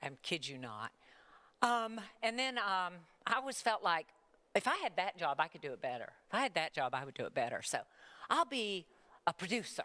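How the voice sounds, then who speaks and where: A woman's animated, bright, sharp voice with vocal fry, a fairly quick pace, very wide pitch swings, big swings in loudness and long, frequent pauses, dry and close with no echo. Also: medium pitch for a woman, very clean recording, silent background. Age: 70s. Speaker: retired TV news executive. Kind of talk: talk to students.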